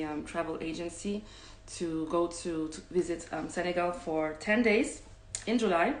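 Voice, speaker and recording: A woman at medium pitch with ordinary pitch variation, a fairly slow pace and audible room echo. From Cameroon. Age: 30s. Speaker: travel host. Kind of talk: live stream talk. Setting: online live session. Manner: halting, many fillers.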